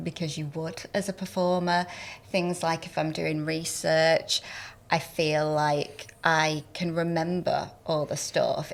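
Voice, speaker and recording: A woman with a Northern English accent talks at a very slow pace, her pitch fairly low and her intonation monotone and flat. The recording is very clean, with a silent background. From Northern England. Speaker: entertainment journalist and former actor. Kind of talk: podcast interview answer.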